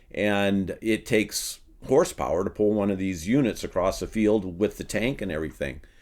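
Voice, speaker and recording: With a Midwestern US accent, a man speaks at a moderate pace with a fairly low pitch and lively intonation on a very clean recording with a silent background. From Iowa. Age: 60s. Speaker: farmer turned soil researcher. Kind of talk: interview conversation. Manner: hesitant, many ums.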